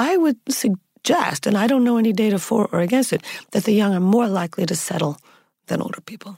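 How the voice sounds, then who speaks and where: A woman talks in a dark, mellow tone at fairly high pitch, somewhat breathy and with lively intonation. Her pace is fairly quick, and the sound is dry and close with no echo. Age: 60s. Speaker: anthropologist and dating researcher. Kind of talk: interview.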